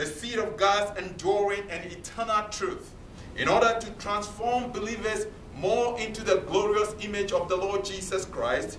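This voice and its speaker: A man speaks at a moderate pace with a high pitch for a man and fairly even intonation. Light background noise and audible room echo are present. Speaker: preacher. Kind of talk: sermon delivered to a congregation. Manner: earnest, emphatic, repeating key points. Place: meeting room. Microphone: camera far.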